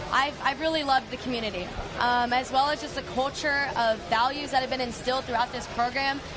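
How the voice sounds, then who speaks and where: A woman's high-pitched voice at a fairly quick pace, monotone and flat, with audible room echo and music in the background. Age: young, 18. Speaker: youth volunteer cadet. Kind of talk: live interview.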